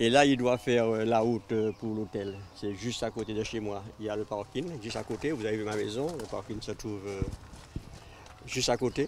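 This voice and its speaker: A man speaks at a moderate pace with a fairly low pitch and fairly even intonation. There is noticeable background noise. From Martinique, Le Carbet. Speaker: local resident. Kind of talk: documentary interview.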